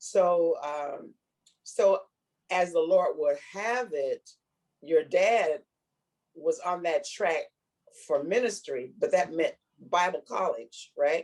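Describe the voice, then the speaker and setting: A very slow pace broken by long, frequent pauses. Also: woman. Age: 80s+. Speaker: widowed mother of eight. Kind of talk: interview answer.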